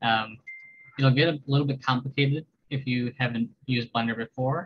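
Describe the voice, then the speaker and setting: A somewhat breathy man speaks at medium pitch and a moderate pace, with fairly even intonation and a dry, close sound with no echo. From Labrador, Canada. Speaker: visual artist and workshop instructor. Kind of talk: tutorial. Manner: hesitant.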